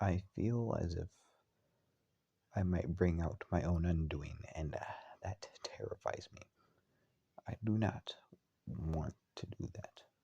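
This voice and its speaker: A very slow pace broken by long, frequent pauses. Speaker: personal video diarist. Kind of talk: personal confession monologue. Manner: halting.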